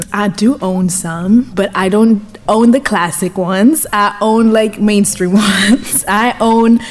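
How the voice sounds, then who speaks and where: Against noticeable background noise, a woman speaks at a very slow pace with hardly any pauses. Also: medium pitch for a woman, fairly even intonation. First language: German. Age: 20s. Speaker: DJ and journalist. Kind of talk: interview. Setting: studio. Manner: hesitant, repeats words.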